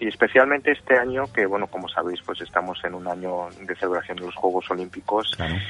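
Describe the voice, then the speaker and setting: With hardly any pauses, a man talks at a very fast pace in a very deep, low voice with ordinary pitch variation. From Spain, Madrid (born in Osaka, Japan; moved at about 3). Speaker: tourism board communications officer. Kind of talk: interview.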